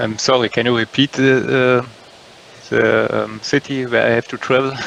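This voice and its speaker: Over noticeable background noise, a man with a German accent talks at a moderate pace. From Germany, North Rhine-Westphalia. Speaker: English learner. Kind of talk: language class conversation. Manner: halting, many fillers.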